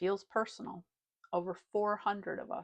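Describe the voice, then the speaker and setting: A woman speaks at medium pitch in a calm, gentle tone. The sound is dry and close, with no echo. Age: 60s. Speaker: retired psychologist. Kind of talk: personal vlog talk to camera.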